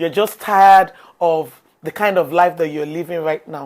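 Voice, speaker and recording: The pace is fairly slow. A woman talks at a fairly low pitch with ordinary pitch variation. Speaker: motivational speaker. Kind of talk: motivational talk.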